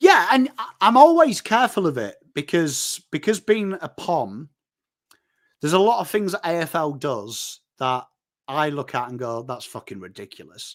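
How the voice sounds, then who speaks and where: On a very clean recording with a silent background, a man with a fairly high pitch and an animated tone talks at a moderate pace, his pitch swinging very widely and his loudness rising and falling sharply. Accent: northern English. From northern England. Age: 40s. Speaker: football content creator. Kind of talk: casual chat.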